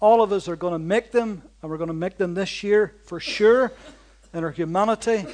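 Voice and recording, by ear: The reading aloud is done in a natural voice with ordinary pitch variation.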